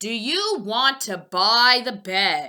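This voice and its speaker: A woman puts on a growling character voice. It sits high in pitch and swings very widely. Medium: read story.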